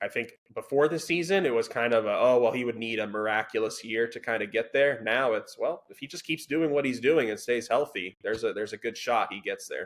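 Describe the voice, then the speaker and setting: Delivered in an ordinary speaking voice, the speech moves at a fairly quick pace with ordinary pitch variation, hardly any pauses and big swings in loudness. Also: man, medium pitch for a man. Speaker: sports podcast host. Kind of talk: casual sports discussion.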